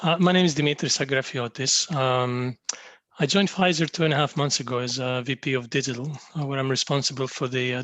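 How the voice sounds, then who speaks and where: Against a quiet background, a man with a Greek accent talks at a very fast pace in a medium pitch. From Greece. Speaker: pharmaceutical digital executive. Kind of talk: panel discussion self-introduction.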